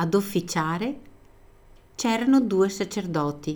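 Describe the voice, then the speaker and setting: Speech moves at a fairly slow pace with lively intonation. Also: woman. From Italy, Veneto. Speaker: teacher. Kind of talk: scripted narration.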